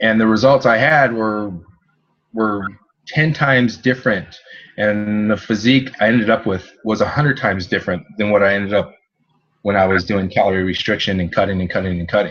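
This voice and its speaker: An unremarkable speaking voice with an American accent. It moves at a fairly quick pace with ordinary pitch variation. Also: man, fairly low pitch for a man. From California. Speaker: nutrition coach, former bodybuilder and chef. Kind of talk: interview conversation.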